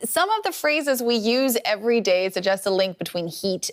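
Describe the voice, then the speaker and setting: A woman with an unremarkable speaking voice, lively intonation and a moderate pace. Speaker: news anchor and journalist. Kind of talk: interview questions.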